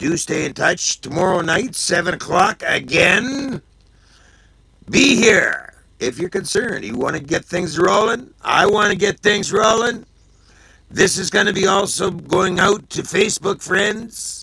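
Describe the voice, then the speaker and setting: A man uses a raised, projected voice at a high pitch. He talks at a fairly slow pace with ordinary pitch variation. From Canada. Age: 60s. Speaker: livestream host. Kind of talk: casual live show sign-off.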